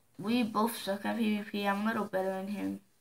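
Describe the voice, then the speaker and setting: A woman speaks at a moderate pace, her fairly high voice somewhat breathy. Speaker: gamer. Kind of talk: gameplay commentary.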